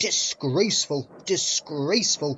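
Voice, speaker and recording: A man puts on a character voice, hissing at a fairly high pitch and a fairly slow pace. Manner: hissing, indignant.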